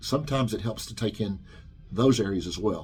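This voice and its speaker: This man has a fairly low pitch and a somewhat breathy voice, speaking at a fairly quick pace with ordinary pitch variation. The recording is very clean, with a silent background. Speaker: personal trainer, studio owner. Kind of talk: informal explainer video. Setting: training studio. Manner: fast; hesitant, many fillers.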